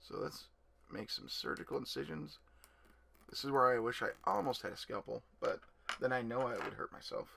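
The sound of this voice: Using a raspy, put-on character voice, a man speaks at a moderate pace with long, frequent pauses.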